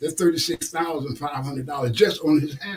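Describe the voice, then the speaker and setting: A somewhat breathy man at a fairly quick pace, with ordinary pitch variation. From New York City (Harlem). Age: 70s. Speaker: author and recovery teacher. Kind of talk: interview. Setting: studio. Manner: animated.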